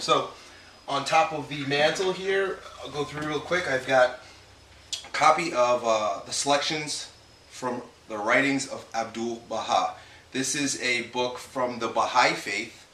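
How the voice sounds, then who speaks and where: Speaking at a moderate pace, a man with a fairly high pitch is heard amid noticeable background noise and audible room echo. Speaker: fitness coach. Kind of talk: casual vlog tour. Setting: at home; gym. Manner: quieter than usual.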